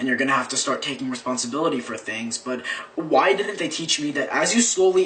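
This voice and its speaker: A man at a fairly quick pace with very wide pitch swings, over noticeable background noise. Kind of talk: slam poetry performance.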